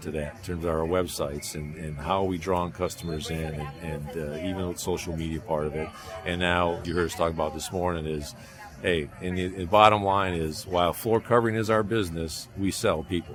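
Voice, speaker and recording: Over noticeable background noise and audible room echo, a man with a very deep, low pitch talks at a fairly quick pace. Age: 60s. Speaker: flooring buying group executive. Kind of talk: interview. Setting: industry conference.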